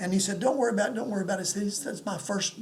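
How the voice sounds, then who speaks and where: The recording has audible room echo along with noticeable background noise. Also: man. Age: 70s. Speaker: pastor. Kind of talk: sermon. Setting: home apartment. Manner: halting.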